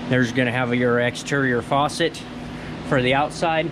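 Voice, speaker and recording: Clearly audible background noise around a man talking at a moderate pace. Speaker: RV salesperson. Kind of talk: walkaround tour commentary. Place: hall. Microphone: phone near.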